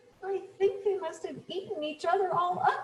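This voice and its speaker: Putting on a character voice, a woman squeaks at an extremely high pitch. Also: moderate pace. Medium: read story.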